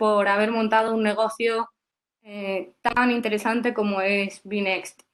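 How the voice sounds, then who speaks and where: Her fairly high-pitched voice moves at a fairly slow pace with monotone, flat intonation. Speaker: workshop host and interviewer. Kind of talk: webinar interview. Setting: online webinar. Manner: hesitant, many fillers.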